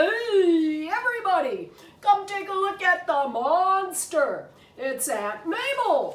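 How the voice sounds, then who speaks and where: At a fairly slow pace, someone uses a put-on character voice at an extremely high pitch, with an audible echo. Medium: read story. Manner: bossy, confident.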